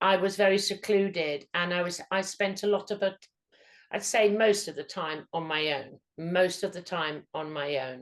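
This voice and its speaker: A woman talks at a moderate pace. Her medium pitch shows ordinary variation. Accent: London. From London, England. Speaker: psychic medium. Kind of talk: interview. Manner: halting.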